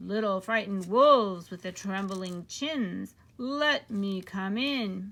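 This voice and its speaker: Using a put-on character voice at a medium pitch, a woman speaks at a fairly slow pace. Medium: read story.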